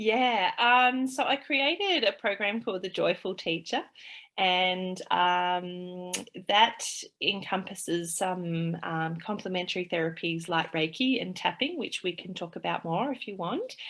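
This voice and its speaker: Speaking at a fairly slow pace, a woman with an Australian accent uses a medium pitch and ordinary pitch variation on a very clean recording with a silent background. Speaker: play therapist and early childhood teacher. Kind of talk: interview conversation. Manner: halting, many fillers.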